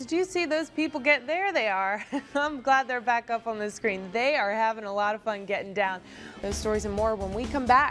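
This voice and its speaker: Over music in the background, a woman with a fairly high pitch speaks at a moderate pace with lively intonation. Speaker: news anchor and reporter. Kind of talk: TV news read.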